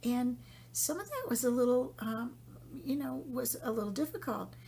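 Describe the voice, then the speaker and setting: Noticeable background noise runs under the clip. The woman's pace is moderate. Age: 60s. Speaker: podcast host. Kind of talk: personal monologue about spiritual journey. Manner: reflective, hesitant with fillers.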